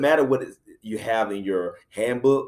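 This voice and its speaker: A man with a South Carolina accent speaks at a fairly slow pace. His pitch sits in the medium range. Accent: country accent, South Carolina. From US South, South Carolina (Anderson). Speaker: middle school principal. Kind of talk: talk to educators. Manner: many filler words (uh, um).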